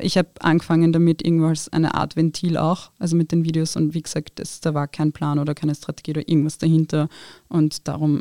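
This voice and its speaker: A woman speaks very fast with a very deep, low pitch and a dark, mellow tone. The sound is dry and close, with no echo. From Austria, Wiener Neustadt. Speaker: social media creator and lawyer. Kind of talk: interview.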